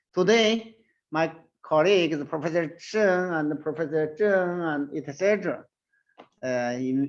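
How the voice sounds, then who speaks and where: A man with a Chinese accent, fairly slow pace and ordinary pitch variation. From China. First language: Mandarin Chinese. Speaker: surgeon and professor. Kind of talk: presentation. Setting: online webinar. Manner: halting, non-fluent English.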